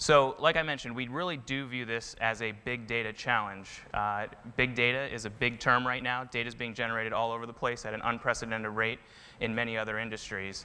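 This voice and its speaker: The pace of this man's speech is very fast. Fairly even intonation marks his delivery. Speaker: presenter. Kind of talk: conference talk. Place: stage. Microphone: lapel.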